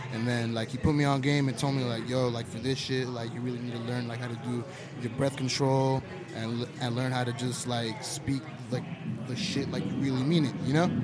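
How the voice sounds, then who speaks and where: Fairly quick, monotone, flat delivery in an American accent, with audible room echo and noticeable background noise. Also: man, medium pitch for a man. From Southern California (Escondido). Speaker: rapper. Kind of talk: casual chat. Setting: brewery, live podcast.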